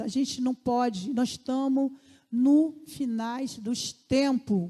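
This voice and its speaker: A woman's high-pitched voice, dark and mellow in tone, with fairly even intonation. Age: 50s. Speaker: lay preacher. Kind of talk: sermon. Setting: church.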